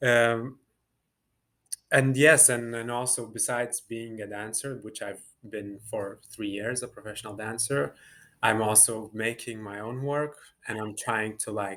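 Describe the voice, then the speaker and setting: In a Lithuanian accent, a man with a medium pitch speaks at a fairly slow pace, using a bright, sharp tone and fairly even intonation. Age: 20s. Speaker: dancer and choreographer. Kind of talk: interview. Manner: hesitant, many fillers.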